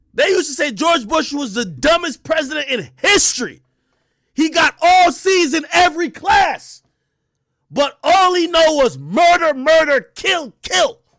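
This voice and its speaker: A man speaks at an extremely high pitch in a bright, sharp, animated tone. His pace is fairly slow and his intonation lively. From Jamaica. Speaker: podcast host and livestreamer. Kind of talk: casual commentary livestream.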